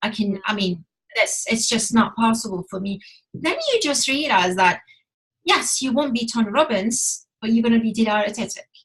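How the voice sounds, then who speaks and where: A woman with a non-native accent speaks at a moderate pace in a somewhat breathy voice. Her pitch is fairly high, with ordinary variation. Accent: foreign. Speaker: relationship coach. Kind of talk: casual chat. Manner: halting.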